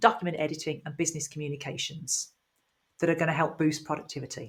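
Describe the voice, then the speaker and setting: A woman talks with a British accent. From UK. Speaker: IT trainer. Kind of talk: tutorial. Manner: clear, explanatory.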